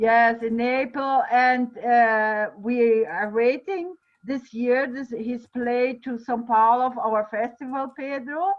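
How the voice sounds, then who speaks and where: At a very slow pace, a woman talks in a high voice with ordinary pitch variation. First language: Portuguese. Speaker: festival director. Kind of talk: online panel discussion. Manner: halting.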